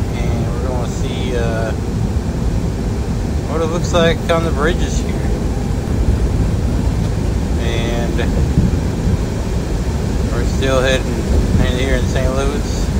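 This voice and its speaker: A man speaks at a very slow pace, with long, frequent pauses. Loud noise fills the background. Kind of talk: casual vlog chat. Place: car. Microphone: headset.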